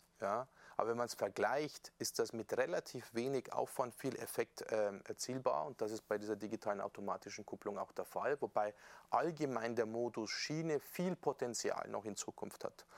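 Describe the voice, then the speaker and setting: The man talks at a moderate pace, the sound dry and close with no echo. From Bavaria, Upper Palatinate (Amberg). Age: 40s. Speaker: member of European Parliament. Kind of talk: casual interview. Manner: relaxed.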